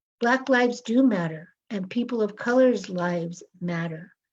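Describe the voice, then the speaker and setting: A woman talks at a moderate pace in a dark, mellow tone that is somewhat breathy. Her pitch varies in an ordinary way. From Los Angeles, US. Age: 60s. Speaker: author. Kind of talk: interview talk.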